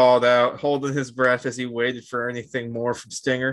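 The clip is simply plain reading aloud.

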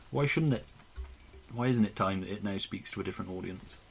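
Speaking with a British accent, a man uses vocal fry and very wide pitch swings. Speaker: podcast co-host. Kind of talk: casual banter podcast chat.

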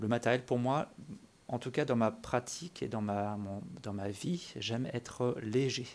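This man speaks fairly slowly at a medium pitch with ordinary pitch variation. The recording is very clean, with a silent background. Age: 40s. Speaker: amateur runner podcaster. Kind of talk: solo monologue podcast. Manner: hesitant, many fillers.

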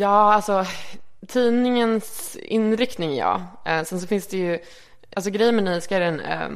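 The speaker uses lively intonation over noticeable background noise. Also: woman. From Sweden (Örebro, then Malmö). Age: 20s. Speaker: magazine editor. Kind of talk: casual interview.

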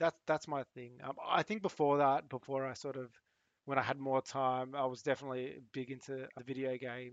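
A man with an Australian accent talks at a fairly quick pace and medium pitch. The sound is dry and close, with no echo. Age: 40s. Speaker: cybersecurity professional and former air force member. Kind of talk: casual interview chat. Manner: halting, with many repeated words.

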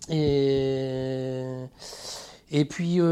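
The man's voice sits fairly high in pitch. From France, Troyes. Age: 50s. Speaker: tattoo artist. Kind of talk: casual interview. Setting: home studio. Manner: halting.

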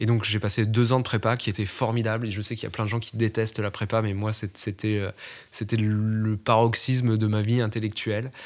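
Intonation stays monotone and flat while the delivery holds a medium tempo. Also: man, fairly low pitch for a man. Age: 20s. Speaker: podcast interviewee. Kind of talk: interview testimony. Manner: halting, many fillers and repetitions.

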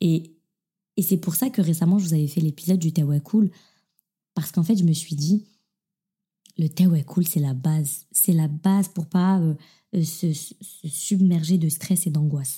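A woman speaks in a fairly low, dark, mellow voice that is somewhat breathy, at a moderate pace with fairly even intonation. Her speech is broken by long, frequent pauses. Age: 20s. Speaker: podcast host. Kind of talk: casual monologue. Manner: hesitant, many fillers.

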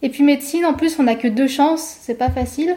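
A woman speaks at a high pitch with fairly even intonation. Noticeable background noise is present. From France, Savoie (Chambéry). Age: 20s. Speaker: food photographer. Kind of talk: interview conversation.

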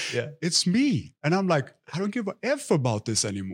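In a very clean recording with a silent background, a man speaks at a fairly quick pace in an animated, somewhat breathy tone, with very wide pitch swings and a dry, close sound with no echo. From Sweden, Stockholm. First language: Swedish. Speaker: health and wellness influencer. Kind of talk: casual chat.

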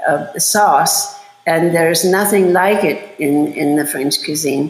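A woman with a German accent at a fairly low pitch and fairly slow pace, amid noticeable background noise and audible room echo. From Germany, Bavaria. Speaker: chef and cooking instructor. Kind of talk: interview.

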